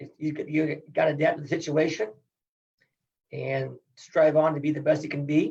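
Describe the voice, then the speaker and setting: His pitch fairly high, a man with an American accent talks at a moderate pace with vocal fry. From Iowa. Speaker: retired wrestling coach. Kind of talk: interview.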